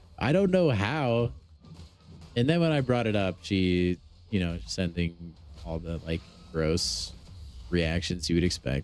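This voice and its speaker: Over music in the background, a man with a very deep, low pitch speaks loudly in an animated tone, with very wide pitch swings, a fairly slow pace and long, frequent pauses. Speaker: gaming streamer. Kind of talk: live stream chat. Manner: casual, animated.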